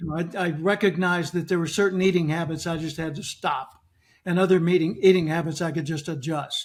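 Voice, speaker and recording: A man with an American accent at a very fast pace, high in pitch and flat in a monotone, on a very clean recording with a silent background. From US South, Arkansas. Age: 70s. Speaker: motivational speaker and author. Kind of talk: podcast interview.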